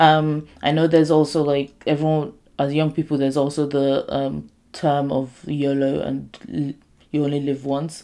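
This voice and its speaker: A woman's very deep, low voice with a dark, mellow tone and monotone, flat intonation at a moderate pace, on a very clean recording with a silent background. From Nigerian heritage. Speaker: podcast host. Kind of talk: casual solo talk.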